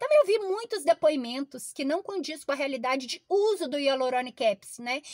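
A woman with a Brazilian accent speaks at a high pitch and a fairly quick pace with very wide pitch swings. The sound is dry with no echo, over a quiet background. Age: 40s. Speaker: product reviewer. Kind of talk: sales pitch. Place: car. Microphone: phone near.

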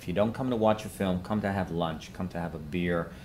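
A man talks at a fairly quick pace. His low voice carries ordinary pitch variation.

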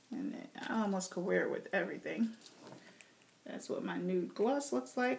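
A woman speaks with an American accent, pausing long and often. Background noise is noticeable. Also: moderate pace. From New Jersey. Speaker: beauty and fashion YouTuber. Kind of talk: casual vlog talking to camera. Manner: casual, hesitant with fillers.

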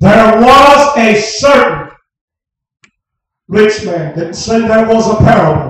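A man speaks very slowly in a high voice with ordinary pitch variation. There is strong room echo and light background noise. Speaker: preacher. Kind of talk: revival sermon. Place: tent. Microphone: camera far.

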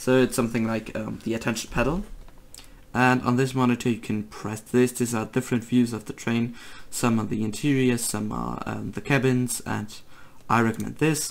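A moderate pace in a German accent. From Germany. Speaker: gaming video creator. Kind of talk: tutorial. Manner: halting, many fillers.

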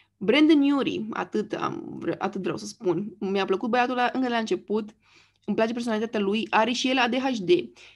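With an ordinary speaking voice, a woman talks at a moderate pace, her fairly high pitch moving with lively intonation. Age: 30s. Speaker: YouTuber. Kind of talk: casual monologue. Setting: screen share recording.

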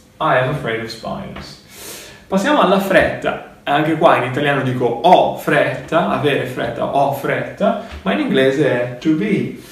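Speaking at a fairly slow pace with lively intonation, a man is heard with audible room echo. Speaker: English teacher. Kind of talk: lecture. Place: home room. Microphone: camera far.

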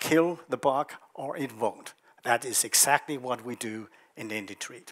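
Fairly even intonation marks this man's moderate delivery. Behind him all is quiet. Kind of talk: investor presentation. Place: hall. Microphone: headset.

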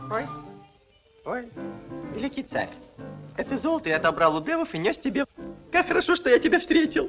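A man's cartoonish character voice, extremely high-pitched and fairly bright in tone, with big pitch swings at a fairly quick pace over faint music in the background.

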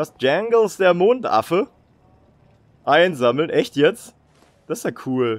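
Very slow delivery with very wide pitch swings and long, frequent pauses. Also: man, high pitch for a man. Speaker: gaming YouTuber. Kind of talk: casual gameplay commentary, dubbed afterwards. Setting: home recording, voice-over. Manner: casual, chatty, hesitant with fillers.

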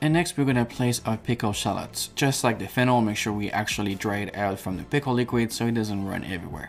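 The speech rushes at a very fast pace with hardly any pauses and ordinary pitch variation over light background noise. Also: man. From France. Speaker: chef; chef host. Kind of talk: cooking tutorial. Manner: animated. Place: kitchen.

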